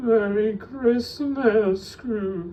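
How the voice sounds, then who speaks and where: The voice is a put-on character voice. It is a man's, pitched high. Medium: read story. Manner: slow, solemn, grave.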